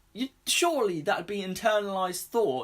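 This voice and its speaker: In a British accent, a man speaks at a moderate pace with an animated tone and lively intonation. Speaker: YouTuber reviewing TV. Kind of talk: review rant to camera.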